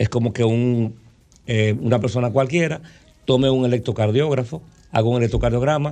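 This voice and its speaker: Speaking at a fairly quick pace, a man has a dark, mellow tone and a medium pitch. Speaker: doctor. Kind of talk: interview.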